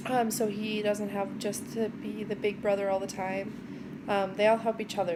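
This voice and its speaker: With audible room echo behind her, a woman speaks at a moderate pace in a medium pitch. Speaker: vlogger, mother of four. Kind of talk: casual vlog monologue. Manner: loud; upbeat, bubbly.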